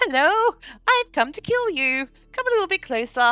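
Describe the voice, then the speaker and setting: An extremely high put-on character voice moves at a moderate pace with very wide pitch swings. Its tone is cheerful yet menacing, with faint music in the background. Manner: cheerful, sweetly menacing.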